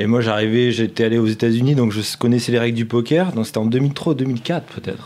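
A man talks at medium pitch. He has an ordinary speaking voice. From southeast France, Nice hinterland. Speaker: video director for a poker company. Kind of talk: casual chat.

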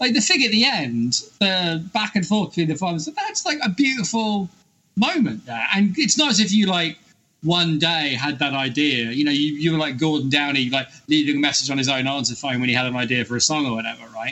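Fairly quick in pace, the delivery comes in an unremarkable speaking voice. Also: man, fairly high pitch for a man. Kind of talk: casual chat.

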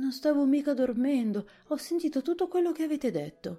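Music plays in the background as a woman does a hoarse, put-on character voice. Her pitch is high and her pace moderate. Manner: drowsy, defensive.

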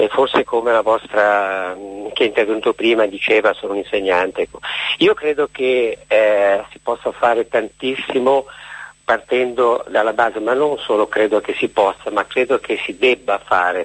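Noticeable noise fills the background. The talking proceeds at a moderate pace. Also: man. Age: 60s. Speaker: middle school teacher. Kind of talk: phone-in call. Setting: phone call.

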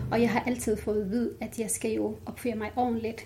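A woman's voice in an Arabic accent, with monotone, flat intonation and vocal fry. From Jordan (Palestinian family). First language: Arabic (speaking Danish). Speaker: women's rights activist. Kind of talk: interview.

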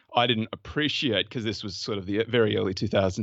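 Speaking at a very fast pace with an Australian accent, a man uses a fairly low pitch. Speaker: fund manager and former lawyer. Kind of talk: interview conversation about investing.

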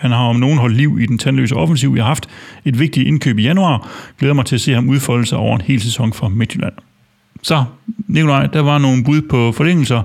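Speaking at a fairly quick pace, a man with an ordinary speaking voice keeps a medium pitch, ordinary pitch variation and very even loudness. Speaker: fan podcast host. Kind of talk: casual football discussion.

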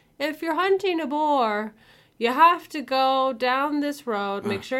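In a put-on character voice with an American accent, a woman speaks high and with lively intonation. Her pace is fairly slow, and the recording is very clean with a silent background.

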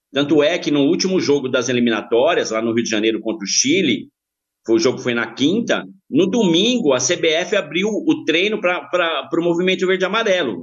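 A high-pitched man at a moderate pace, with very wide pitch swings. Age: 50s. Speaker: football supporter group member, insurance broker. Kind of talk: podcast interview.

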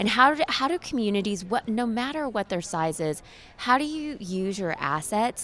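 On a very clean recording with a silent background, a woman with an American accent speaks at a fairly slow pace with very wide pitch swings. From Oklahoma. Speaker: think tank program executive. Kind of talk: interview. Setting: conference event.

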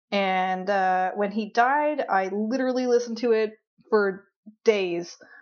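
A woman with a plain, everyday voice speaks at a fairly high pitch. Her pitch variation is ordinary and her pace fairly slow. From Newfoundland, Canada. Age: 30s. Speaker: comedian. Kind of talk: casual interview chat.

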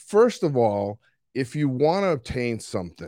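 In a very clean recording with a silent background, a man with a Boston accent speaks at a fairly slow pace. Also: dry, close sound with no echo. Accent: Boston accent, fairly strong. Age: 60s. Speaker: coach. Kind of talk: casual solo talk about coaching. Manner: can get loud and animated.

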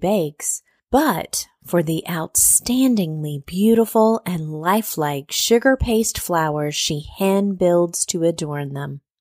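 A woman speaks fairly slowly in an unremarkable speaking voice, fairly low in pitch with lively intonation. The sound is dry and close, with no echo. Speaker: podcast host and food writer. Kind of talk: interview chat. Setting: hotel room.

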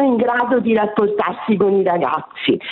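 A woman's fairly high voice moves at a moderate pace amid noticeable background noise. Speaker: retired teacher. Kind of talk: radio call-in. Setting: phone call.

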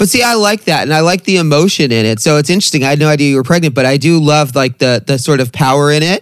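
Delivered at a very fast pace with lively intonation and very even loudness, the voice comes through over noticeable background noise. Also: man, fairly high pitch for a man. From Long Beach, California. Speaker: podcast interviewer. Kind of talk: casual interview chat, with swearing. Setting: video call.

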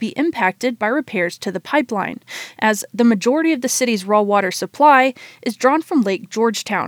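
A woman talks fairly quickly in an unremarkable speaking voice. Her pitch is fairly high, with ordinary pitch variation. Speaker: radio reporter. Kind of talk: scripted radio news report, read aloud. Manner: formal, even and informative, steady newsreading pace.

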